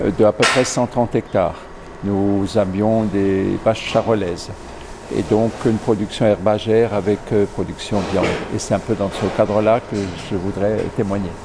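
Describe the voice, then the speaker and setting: Noticeable background noise underlies a man speaking in a fairly low pitch with fairly even intonation. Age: 60s. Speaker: retired farmer. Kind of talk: interview testimony.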